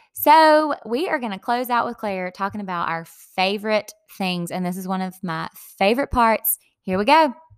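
A woman with a Southern US accent speaks at a moderate pace. Her pitch is medium and her intonation lively. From US South, Dillon, South Carolina. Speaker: podcast host. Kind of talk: scripted narration; casual chat. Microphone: echo, rough audio, no usual equipment.

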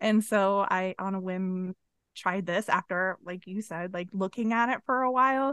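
A woman speaks at a medium pitch and a moderate pace with ordinary pitch variation, in a plain, everyday voice. The sound is dry and close, with no echo. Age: 40s. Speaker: musician and podcast guest. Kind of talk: casual chat.

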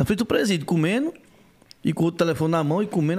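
A man speaks at a very fast pace in a high voice. His pitch variation is ordinary. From Pernambuco interior, Brazil. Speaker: YouTuber comedian. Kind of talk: casual chat. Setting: studio.

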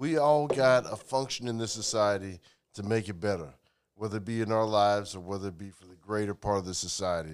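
A man with a plain, everyday voice, fairly low in pitch, at a fairly quick pace. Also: very clean recording, silent background. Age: 40s. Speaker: podcast guest. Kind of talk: casual chat.

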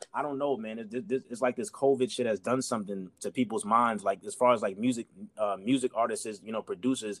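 Hardly pausing, the speaker races along at a very fast pace with a New York accent and ordinary pitch variation, the sound dry and close with no echo. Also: man, medium pitch for a man. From New York City, Queens. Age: 30s. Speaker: rapper. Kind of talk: casual interview chat. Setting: remote call.

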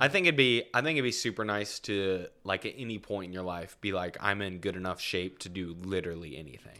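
A man talks at a fairly quick pace in a bright, sharp tone. The recording is very clean, with a silent background. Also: big swings in loudness. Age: 20s. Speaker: podcast co-host and realtor. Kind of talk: casual chat.

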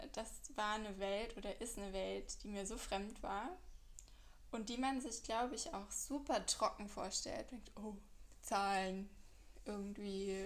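Fairly slow speech with long, frequent pauses, ordinary pitch variation and audible room echo. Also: woman. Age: 30s. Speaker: podcaster, fraud manager. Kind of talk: casual monologue. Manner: hesitant, many fillers.

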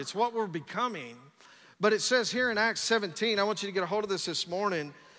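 A man speaks in a raised, projected voice, high-pitched with a bright, sharp tone. His pitch varies in an ordinary way. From West Texas. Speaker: pastor. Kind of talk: Pentecostal-style sermon, rising into call-and-response exhortation. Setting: church with live congregation. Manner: rapid run-on delivery with stacked repetitions and "come on somebody" interjections; fervent, revving up the congregation.

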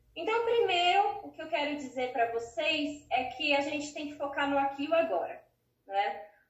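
Her high voice swinging very widely in pitch, a woman speaks at a moderate pace with audible room echo. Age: 30s. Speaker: psychologist. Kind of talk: interview.

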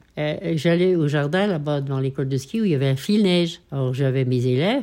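A woman with a very deep, low pitch talks at a fairly quick pace with lively intonation. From French Alps, Savoie. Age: 80s+. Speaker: retired ski instructor. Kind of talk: casual interview, life story.

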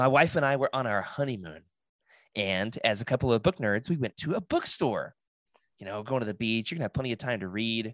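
A man with an American accent speaks in a normal speaking voice at medium pitch, with lively intonation and a fairly quick pace, captured in a dry, close sound with no echo on a very clean recording with a silent background. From US South, Oklahoma. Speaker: podcast host, guest. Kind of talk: casual chat.

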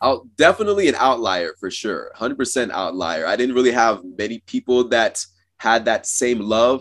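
A man with an American accent has an ordinary speaking voice at medium pitch with lively intonation. He speaks at a moderate pace on a very clean recording with a silent background. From Cameroon and US Pacific Northwest. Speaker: science communicator and engineer. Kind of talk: interview. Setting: call.

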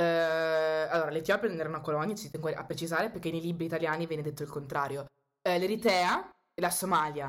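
A woman with a fairly low pitch speaks at a very fast pace with fairly even intonation. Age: 20s. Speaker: student and activist. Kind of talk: casual chat.

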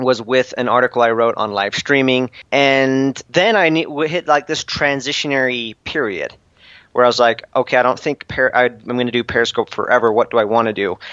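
An unremarkable speaking voice from a man, medium in pitch, at a moderate pace with ordinary pitch variation. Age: 20s. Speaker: entrepreneur and author. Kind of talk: podcast interview.

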